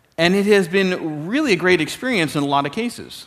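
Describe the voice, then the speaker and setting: Speaking with a Canadian accent, a man uses a normal speaking voice at a moderate pace with lively intonation. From Canada. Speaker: security expert. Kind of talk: keynote talk. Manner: casual, conversational.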